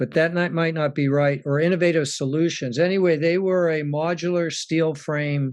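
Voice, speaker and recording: Against a quiet background, a normal speaking voice moves at a moderate pace with very even loudness and fairly even intonation. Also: man. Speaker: sustainability project developer. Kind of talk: presentation.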